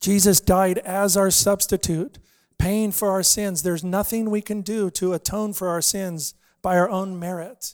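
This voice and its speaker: Recorded very cleanly over a silent background, the sound is dry and close with no echo. A man with an American accent speaks at a high pitch with fairly even intonation. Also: fairly slow pace. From Los Angeles, California. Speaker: missionary preacher. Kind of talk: sermon. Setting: church.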